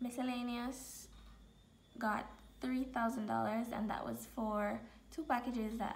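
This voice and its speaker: Background noise is noticeable as a woman talks at a moderate speed. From Jamaica. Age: 20s. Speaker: personal finance vlogger. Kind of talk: casual talk to camera.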